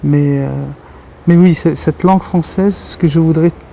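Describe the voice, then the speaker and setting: Noticeable background noise accompanies a man speaking with a Kabyle accent. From Algeria. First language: Kabyle Berber (speaking French). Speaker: writer and journalist. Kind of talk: interview. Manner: halting, many repetitions.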